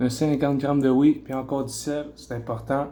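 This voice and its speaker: A man in a Quebec accent, with a dark, mellow tone and a fairly slow pace. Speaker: bodybuilder. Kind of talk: casual talk to camera, fitness vlog. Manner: casual, hesitant.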